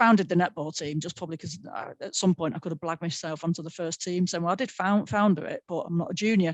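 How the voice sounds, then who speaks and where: A woman speaks very fast, with hardly any pauses, at a fairly low pitch and ordinary variation. The sound is dry and close, with no echo. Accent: strong Manchester. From North Manchester, England. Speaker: sports broadcaster. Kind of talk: panel webinar talk.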